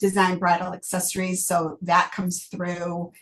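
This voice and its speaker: A woman with an American accent speaks in a somewhat breathy voice at medium pitch. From Michigan, US Midwest. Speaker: novelist. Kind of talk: interview. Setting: video call.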